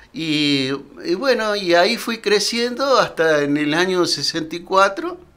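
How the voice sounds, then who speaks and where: The speaker uses lively intonation at a fairly slow pace. Noticeable background noise is present. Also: man, high pitch for a man. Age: 70s. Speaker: retired teacher. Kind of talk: interview. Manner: halting.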